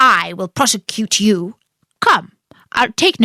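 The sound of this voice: Nothing much stirs in the quiet background. An unforced reading voice carries ordinary pitch variation.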